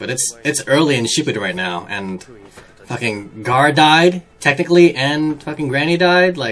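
The man's intonation is lively, and he keeps a moderate pace. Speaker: anime reaction video host. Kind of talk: casual reaction commentary. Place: home room.

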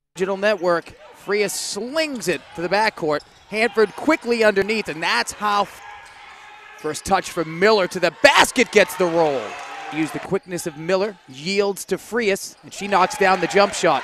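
A high-pitched man speaks with ordinary pitch variation and big swings in loudness. The sound is dry with no echo, over light background noise. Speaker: basketball play-by-play commentator. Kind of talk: sports play-by-play commentary. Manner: fast, breathless run-on calls that pile plays together without pause; excitable, bursting into exclamations and laughter on big plays. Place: hall.

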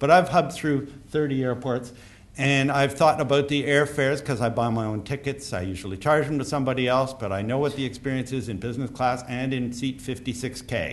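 His pitch is medium and varies in an ordinary way. The man keeps a moderate pace. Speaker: conference speaker on airport rail. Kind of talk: conference talk. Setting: stage with audience. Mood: wry, anecdotal. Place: hall. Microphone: podium.

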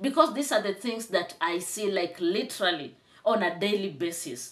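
Very wide pitch swings at a moderate pace. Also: woman. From Kenya. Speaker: YouTube commentator. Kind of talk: commentary vlog. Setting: home, on camera with tripod. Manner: animated, emphatic. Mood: indignant. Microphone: phone near.

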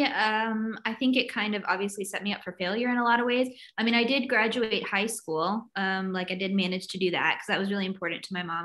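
A woman speaks at a very fast pace with a slight Southern US accent. Her medium-pitched voice has a bright, sharp tone. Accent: American, light Southern. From US South (North Carolina and Virginia). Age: 30s. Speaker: writer and recovery advocate. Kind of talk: personal testimony in interview.

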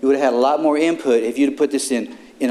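Through noticeable background noise, a man talks at a medium pitch. His pitch varies in an ordinary way. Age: 60s. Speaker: citizen speaking at public comment. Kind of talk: public comment at council meeting. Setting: city council chamber. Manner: angry, confrontational.

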